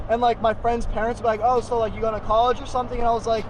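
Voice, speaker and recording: A man with an American accent speaks at a high pitch. Noticeable background noise and audible room echo are present. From US West Coast, San Diego. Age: 20s. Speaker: online business youtuber. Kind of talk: casual Q&A vlog. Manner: casual, filler-heavy.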